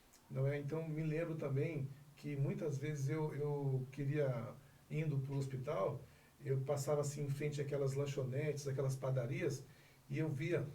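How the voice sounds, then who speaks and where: Noticeable background noise sits behind a man speaking at a moderate pace. His pitch is fairly high, and his intonation is monotone and flat. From Northeast Brazil, Bahia. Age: 40s. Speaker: insurance broker and lawyer. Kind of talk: interview answer.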